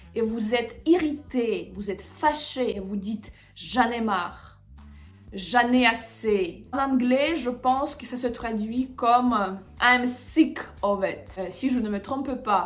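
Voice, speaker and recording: Speaking at a very slow pace with a high pitch, a woman shows ordinary pitch variation and big swings in loudness, with audible room echo around her. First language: Russian (speaking French). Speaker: language teacher. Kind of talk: tutorial. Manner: hesitant, with filler sounds.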